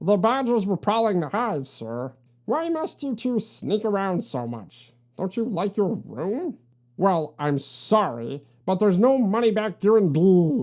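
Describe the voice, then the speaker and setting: Using a put-on character voice, a woman speaks at medium pitch and a fairly slow pace. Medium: read story. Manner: officious, curt.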